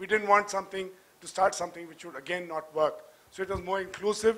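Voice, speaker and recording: A man speaks in a high, raised, projected voice at a very fast pace. His intonation stays fairly even. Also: big swings in loudness. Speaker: audience member. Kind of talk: audience question. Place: hall. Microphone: handheld.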